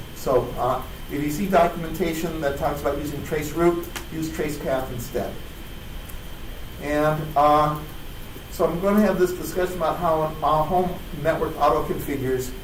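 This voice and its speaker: Long, frequent pauses break up a man's speech in a fairly high pitch. Noticeable background noise and audible room echo fill the recording. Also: fairly even intonation, moderate pace. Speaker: conference speaker. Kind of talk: technical talk.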